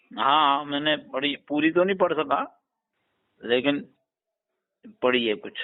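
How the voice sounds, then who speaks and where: A man speaks with a fairly high pitch and ordinary pitch variation, leaving long, frequent pauses. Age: 60s. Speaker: Islamic scholar, caller. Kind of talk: casual chat.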